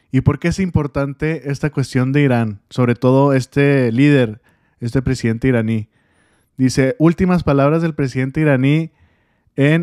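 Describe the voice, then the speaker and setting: Recorded very clean with a silent background and a dry, close sound without echo, a man speaks at a medium pitch in a dark, mellow tone, with very even loudness and fairly even intonation. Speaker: political news commentator. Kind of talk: news commentary monologue.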